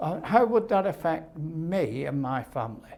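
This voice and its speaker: The speaker talks at a fairly slow pace in a Lancashire accent. The pitch swings very widely. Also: man. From northern England, Lancashire (Little Lever). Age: 80s+. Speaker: nuclear test veteran. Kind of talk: interview testimony. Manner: halting.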